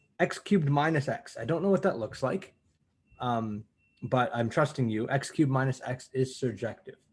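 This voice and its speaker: A man with a medium pitch and a somewhat breathy voice talks with lively intonation. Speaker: university math lecturer. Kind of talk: lecture. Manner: fast; animated.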